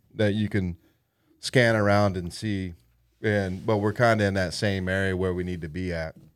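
Here is a man with an ordinary speaking voice and an American accent, pitched fairly low. He keeps a moderate pace and fairly even intonation in a very clean recording with a silent background. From Indiana, Lafayette. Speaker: bait shop owner, army veteran. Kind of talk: casual chat. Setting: studio.

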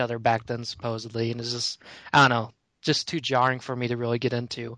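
This man's voice sits at a medium pitch. His intonation stays monotone and flat. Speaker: podcast co-host. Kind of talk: casual group chat about pop culture.

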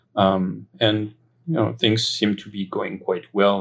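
A man with a French accent speaks at a fairly low pitch. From France, Paris area. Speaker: philosopher and IT director. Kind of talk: interview testimony. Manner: hesitant, many fillers.

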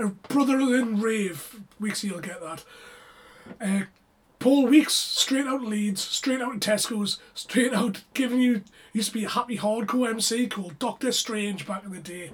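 The speaker has a British accent and talks at a fairly slow pace. There is noticeable background noise. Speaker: rave podcast co-host. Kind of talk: casual chat.

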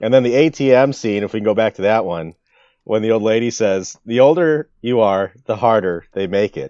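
In an American accent, a man speaks at a moderate pace and a medium pitch with ordinary pitch variation and a dark, mellow tone, the sound dry and close with no echo against a quiet background. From US Midwest. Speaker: podcast co-host. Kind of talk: casual chat.

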